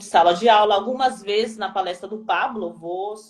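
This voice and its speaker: A woman at a moderate pace with a medium pitch, ordinary pitch variation and an unremarkable speaking voice. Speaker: teacher. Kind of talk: live stream talk.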